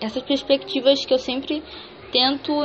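A woman with a high voice over noticeable background noise. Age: 20s. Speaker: columnist and podcaster. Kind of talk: solo monologue podcast. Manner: casual, conversational.

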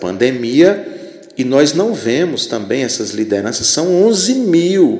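Pitch swings very widely as a man talks at a very slow pace. Noticeable background noise and audible room echo fill the clip. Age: 50s. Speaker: podcast host, religious commentator. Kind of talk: solo commentary monologue.

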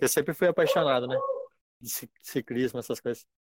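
The man's voice has ordinary pitch variation and a dry, close sound with no echo. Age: 20s. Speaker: pharmacy clerk and gym member. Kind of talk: casual interview. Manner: halting.

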